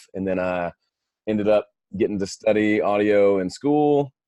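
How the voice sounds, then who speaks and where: In a Southern US accent, a man talks fairly quickly with a fairly low pitch and a dark, mellow tone. The background is quiet. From US South, Mississippi. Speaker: audio engineer and musician. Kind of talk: interview.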